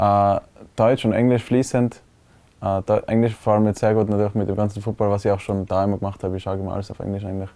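A man speaks very fast in a fairly low, dark and mellow voice with monotone, flat intonation over a quiet background. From Tyrol, Austria (Innsbruck). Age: 20s. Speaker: American football player and medical student. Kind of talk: interview. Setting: studio.

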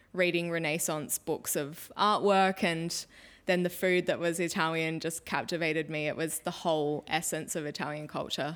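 In an Australian accent, a woman with a fairly low pitch speaks at a moderate pace in a monotone, flat intonation, on a very clean recording with a silent background. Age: 20s. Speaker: cook and food stylist. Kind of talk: casual interview chat.

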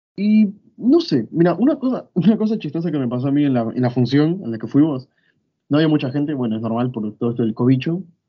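This man has a fairly high pitch. He talks at a fairly quick pace with lively intonation. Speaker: podcast co-host. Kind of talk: casual chat.

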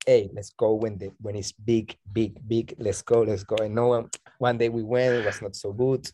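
Here is a man at a medium pitch with a dark, mellow tone. His intonation stays fairly even. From Colombia, Barranquilla. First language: Spanish. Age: 30s. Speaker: bodyboarder and DJ. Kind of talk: casual interview chat. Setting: remote call.

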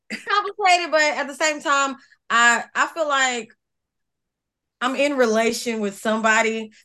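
Projecting a raised voice at a high pitch, a woman speaks at a moderate pace with lively intonation and long, frequent pauses. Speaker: co-host. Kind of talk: casual chat.

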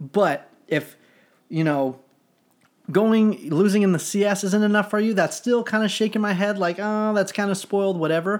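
Moderate pace from a man in a very clean recording with a silent background. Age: 30s. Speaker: sports podcast co-host. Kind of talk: casual chat. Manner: animated.

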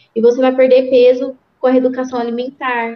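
Here a woman speaks in a high voice. She keeps a fairly quick pace. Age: 20s. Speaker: affiliate marketing specialist. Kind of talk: interview. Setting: home studio, open window.

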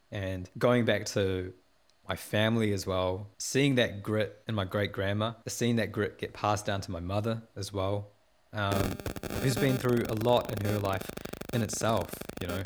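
A man with a New Zealand accent speaks at a fairly low pitch and a fairly slow pace, with fairly even intonation. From New Zealand, Porirua. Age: 20s. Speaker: musician and producer. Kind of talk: interview. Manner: laughs often.

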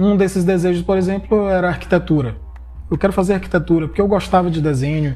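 A man talks at a very fast pace in a high pitch with fairly even intonation. His tone is dark and mellow. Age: 30s. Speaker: podcast host. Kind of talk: solo podcast monologue. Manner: casual conversational.

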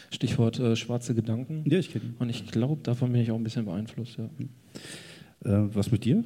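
A man's somewhat breathy voice with a dark, mellow tone, at medium pitch with ordinary pitch variation and a moderate pace, with hardly any pauses. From Ruhr area, Germany. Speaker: cartoonist. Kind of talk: casual chat. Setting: stage with audience.

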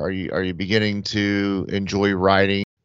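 An unremarkable speaking voice from a man with an American accent, fairly low in pitch, at a moderate pace. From Atlanta area, US South. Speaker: podcast host. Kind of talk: casual chat.

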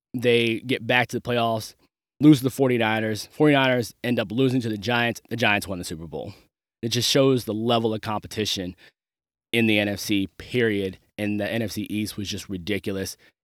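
Recorded very cleanly against a silent background, a man with an American accent and an ordinary speaking voice talks at a moderate pace with medium pitch and fairly even intonation. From Maryland, US. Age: 30s. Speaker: podcast host. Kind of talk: solo commentary monologue.

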